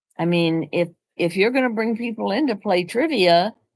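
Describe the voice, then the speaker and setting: The woman's pitch swings very widely. She keeps a moderate pace. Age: 80s+. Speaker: vlogger. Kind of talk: casual chat. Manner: conversational.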